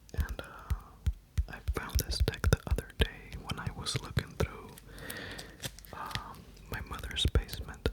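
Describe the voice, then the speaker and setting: A man whispers at a fairly slow pace with long, frequent pauses. Music plays in the background. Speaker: ASMR creator. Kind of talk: ASMR card show-and-tell. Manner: whispered.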